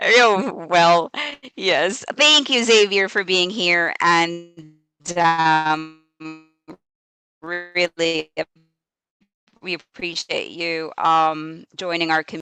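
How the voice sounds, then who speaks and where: Over music in the background, a woman speaks at a very slow pace with a fairly low pitch and long, frequent pauses, the sound dry and close with no echo. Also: ordinary pitch variation. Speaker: ESL teacher and livestream host. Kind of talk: live stream interview. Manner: animated.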